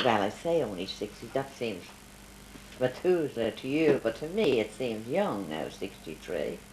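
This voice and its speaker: A woman at a fairly slow pace, with very wide pitch swings, over noticeable background noise. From Ireland. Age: 80s+. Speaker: grandmother interviewed by grandchild. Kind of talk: family interview.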